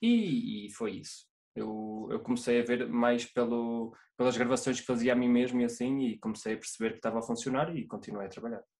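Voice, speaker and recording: Against a quiet background, a man with a medium pitch talks at a fairly quick pace with fairly even intonation. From Portugal, interior. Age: 20s. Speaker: solo euphonium player. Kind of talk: interview. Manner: halting. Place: home room. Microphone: video call.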